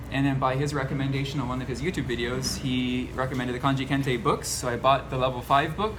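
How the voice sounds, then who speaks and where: A medium-pitched male voice amid noticeable background noise and audible room echo. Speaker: channel host, former assistant language teacher. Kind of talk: casual interview chat. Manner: fast.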